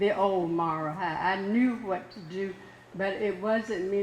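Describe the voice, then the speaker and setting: A woman speaks at medium pitch. Both audible room echo and noticeable background noise come through. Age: 80s+. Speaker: community member. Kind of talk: public comment at a meeting.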